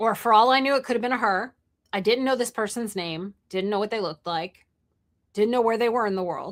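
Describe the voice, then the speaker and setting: Using an ordinary speaking voice, a woman talks at a fairly quick pace in a fairly high pitch. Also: ordinary pitch variation. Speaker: entrepreneur and live streamer. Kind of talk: live stream monologue. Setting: live stream.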